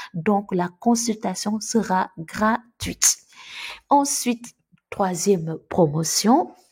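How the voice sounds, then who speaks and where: A woman with a Senegalese accent, somewhat breathy, with lively intonation at a very slow pace. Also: medium pitch for a woman. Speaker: YouTuber on Canada immigration. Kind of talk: casual video announcement. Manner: hesitant, many fillers.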